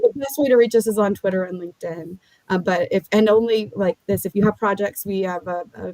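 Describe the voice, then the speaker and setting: A woman's dark, mellow tone at medium pitch, in a dry, close recording with no echo. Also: ordinary pitch variation, fairly quick pace. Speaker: legal tech founder. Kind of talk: podcast interview. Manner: fast.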